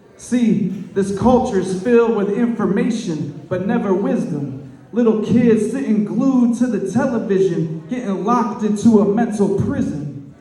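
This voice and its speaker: Noticeable background noise surrounds a man speaking at a fairly slow pace. His pitch is high, with ordinary variation. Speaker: poet. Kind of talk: slam poetry performance. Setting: live event, birthday party venue.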